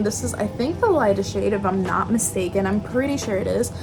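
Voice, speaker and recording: A woman at a moderate pace, music in the background and audible room echo. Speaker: beauty vlogger. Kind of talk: makeup tutorial. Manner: casual, chatty.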